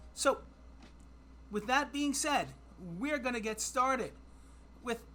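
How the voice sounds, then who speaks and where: A woman's fairly high, bright and sharp voice with vocal fry, animated in tone, at a fairly slow pace. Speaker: trivia streamer. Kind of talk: live stream trivia game. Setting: live stream with chat. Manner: casual, self-deprecating and animated.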